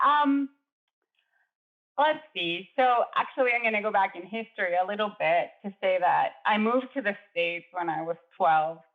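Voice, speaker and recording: A woman with a Spanish accent, fairly high in pitch, at a moderate pace with lively intonation. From Chile. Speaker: architect and adjunct professor. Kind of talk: interview.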